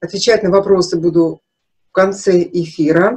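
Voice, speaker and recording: This woman speaks at a fairly low pitch. The background is quiet. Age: 50s. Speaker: nutrition consultant, naturopathy student; naturopath webinar host. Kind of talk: webinar lecture with sales pitch; webinar talk. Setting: live online broadcast. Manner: animated. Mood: frank, emphatic, personal. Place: home room. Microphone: webcam.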